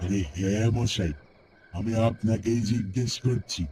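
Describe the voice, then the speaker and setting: Here a man performs a cartoonish character voice. His pitch is fairly low. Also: fairly slow pace. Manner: calm, knowing, evasive.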